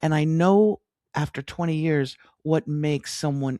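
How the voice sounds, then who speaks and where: With an American accent, a woman speaks with a very deep, low pitch, a dark, mellow tone, and ordinary pitch variation. The recording is very clean with a silent background, and the sound is dry and close with no echo. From US West Coast, Los Angeles. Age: 60s. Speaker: business coach, former broadcast journalist. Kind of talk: interview conversation. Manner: hesitant, many fillers and restarts.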